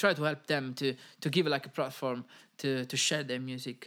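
Recorded very cleanly against a silent background, a man talks with an Italian accent. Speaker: podcast host and music industry worker. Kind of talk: casual solo podcast monologue. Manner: informal, hesitant with frequent fillers.

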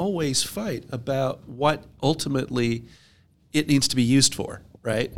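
In an unremarkable speaking voice, a man talks at a fairly slow pace with medium pitch and ordinary pitch variation. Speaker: tax advisor. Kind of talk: casual chat.

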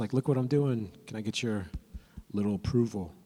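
With an American accent and a normal speaking voice, a man talks at a fairly quick pace, his pitch fairly low and his pitch variation ordinary. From California. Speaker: young adult ministry preacher. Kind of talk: sermon. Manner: casual, with frequent repeats and fillers.

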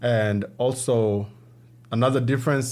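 With audible room echo, a man talks at a medium pitch using fairly even intonation. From Democratic Republic of the Congo. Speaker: refugee community advocate. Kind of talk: interview. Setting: studio.

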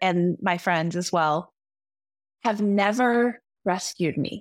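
On a very clean recording with a silent background and a dry, close sound with no echo, a woman speaks fairly slowly with ordinary pitch variation. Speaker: enneagram coach. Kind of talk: casual chat.

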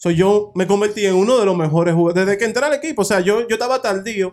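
An animated man talks at a very fast pace in a high pitch. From Dominican Republic. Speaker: podcast co-host. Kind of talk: casual chat.

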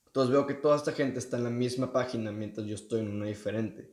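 This man speaks at a medium pitch with a dark, mellow tone. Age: young. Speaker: podcast co-host, student on gap year. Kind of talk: casual chat.

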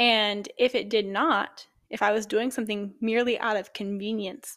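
A woman's fairly high voice in a Midwestern US accent, with fairly even intonation, on a very clean recording with a silent background. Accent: US Midwest. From Ohio. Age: 20s. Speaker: fitness coach and podcast host. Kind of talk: solo podcast monologue.

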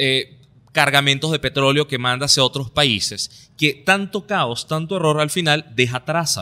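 An ordinary speaking voice at a fairly slow pace, with ordinary pitch variation and a dry, close sound with no echo. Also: man, fairly high pitch for a man. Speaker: political commentary podcast co-host. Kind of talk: casual political discussion.

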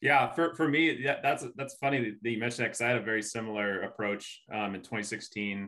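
A man speaks at a fairly quick pace in a normal speaking voice, his pitch fairly low with ordinary variation. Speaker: ultra runner guest. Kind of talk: casual roundtable conversation.

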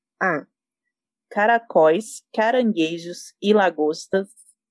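A woman's very slow, lively-intoned speech, with a dry, close sound and no echo. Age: 30s. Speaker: podcast guest, product designer. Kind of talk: casual chat, quiz game.

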